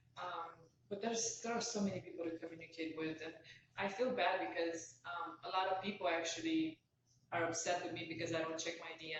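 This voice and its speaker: Speaking fairly quickly with a Romanian accent, a woman uses a fairly low pitch and fairly even intonation. Audible room echo and noticeable background noise surround her voice. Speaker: author. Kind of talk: casual chat.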